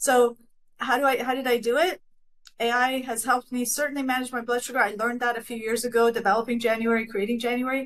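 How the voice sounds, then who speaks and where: Talking at a very fast pace, a woman holds a high pitch with monotone, flat intonation. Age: 60s. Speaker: AI nutrition company founder. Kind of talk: panel discussion.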